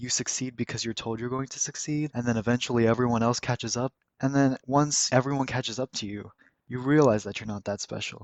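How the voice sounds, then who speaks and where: Using fairly even intonation, a man with an unremarkable speaking voice talks at a medium pitch and a fairly quick pace. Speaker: art student. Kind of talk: casual voiceover talk over speedpaint.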